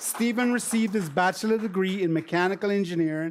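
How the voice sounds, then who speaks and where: Someone with a Caribbean accent speaks at a fairly quick pace. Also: man, very clean recording, silent background. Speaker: former university administrator. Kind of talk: ceremony speech.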